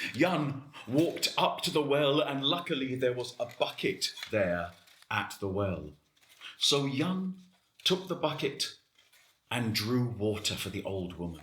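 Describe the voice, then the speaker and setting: Speaking at a fairly slow pace with long, frequent pauses, a man uses a fairly high pitch, vocal fry and very wide pitch swings. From United Kingdom. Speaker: storyteller. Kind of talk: fairy tale storytelling.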